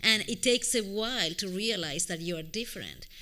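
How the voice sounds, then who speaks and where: A woman's bright, sharp voice at medium pitch, with a non-native accent, ordinary pitch variation and a moderate pace. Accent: foreign. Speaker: panelist. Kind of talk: panel discussion. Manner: talkative.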